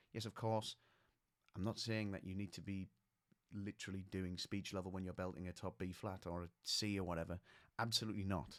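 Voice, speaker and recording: A man speaks with a very deep, low pitch and a flat, monotone delivery. His pace is fairly quick, yet long pauses come often. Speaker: vocal coach. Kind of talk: tutorial.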